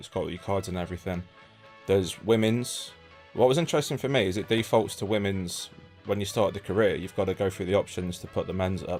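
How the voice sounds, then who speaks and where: With music in the background, a man speaks fairly quickly in a fairly low pitch. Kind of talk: comedy parody game review, casual banter.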